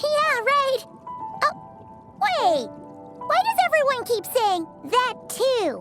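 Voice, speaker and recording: A cartoonish character voice at an extremely high pitch and very slow pace, with clear music in the background. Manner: excitable, chatty.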